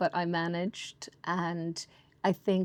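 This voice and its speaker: On a very clean recording with a silent background, a woman talks with an Irish accent. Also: dry, close sound with no echo. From Ireland. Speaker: baker and shop owner. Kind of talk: casual interview chat.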